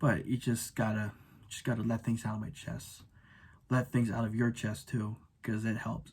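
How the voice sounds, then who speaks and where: Somewhat breathy, this man speaks at medium pitch. His intonation is fairly even. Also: very clean recording, silent background. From Filipino background. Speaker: YouTuber. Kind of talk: rant video. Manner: halting, many repetitions and stutters.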